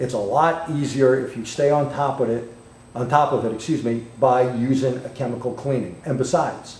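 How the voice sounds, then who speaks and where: A man with a New York accent speaks at a medium pitch and a moderate pace, with fairly even intonation. Audible room echo and noticeable background noise are present. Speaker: automotive technical trainer. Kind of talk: technical webcast demonstration.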